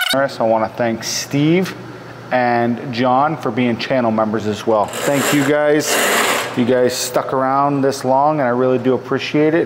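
Background noise is noticeable. The pace is fairly slow. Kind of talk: casual work commentary. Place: garage. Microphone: phone near.

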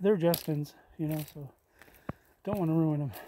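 A man talks at a moderate pace with a fairly high pitch, ordinary pitch variation and a dark, mellow tone. The sound is dry with no echo, and there is light background noise. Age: old. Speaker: hiking vlogger. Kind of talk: casual vlog narration while hiking. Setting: outdoors on a trail. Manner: talkative. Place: forest. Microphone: phone near.

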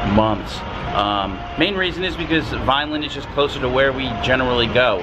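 A man's voice against noticeable background noise. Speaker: shopping vlogger. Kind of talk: casual vlog chat. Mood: upbeat, excited. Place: street. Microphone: phone near.

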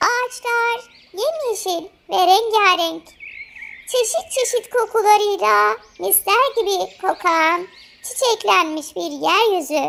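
A woman's put-on character voice at an extremely high pitch, delivered at a very slow pace with lively intonation. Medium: read story.

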